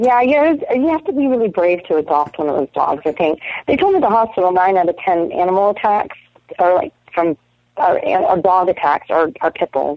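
Speaking at a fairly quick pace and a medium pitch, a woman swings very widely in pitch while her loudness stays very even. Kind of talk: casual chat. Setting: phone call. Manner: animated.

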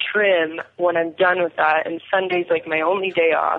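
Noticeable background noise is heard as a woman speaks fairly quickly. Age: 20s. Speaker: pageant winner, dispensary worker. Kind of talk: casual chat.

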